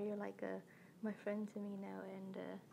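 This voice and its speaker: The speech comes at a fairly slow pace against noticeable background noise. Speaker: hobby animator. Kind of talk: casual talk to viewers. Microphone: phone near.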